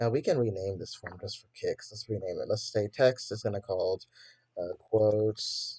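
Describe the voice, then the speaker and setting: The recording is dry and close, without any echo. A man talks at a moderate speed. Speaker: coding tutorial youtuber. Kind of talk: tutorial. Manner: casual, hesitant with fillers.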